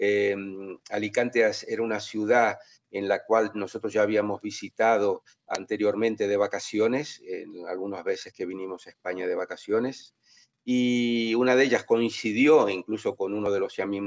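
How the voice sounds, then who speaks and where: Moderate-paced male speech, recorded close and dry with no echo. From Brazil (São Paulo), born in Argentina. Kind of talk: interview. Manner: halting, many fillers.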